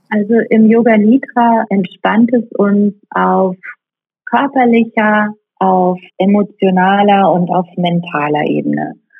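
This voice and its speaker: Very slowly, a woman talks at a medium pitch with ordinary pitch variation. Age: 40s. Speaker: yoga teacher. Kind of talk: interview.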